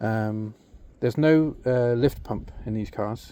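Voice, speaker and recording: This man speaks at a medium pitch with a dark, mellow tone and ordinary pitch variation. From Britain. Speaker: car enthusiast video maker. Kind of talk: casual walkthrough tutorial. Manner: halting, many fillers.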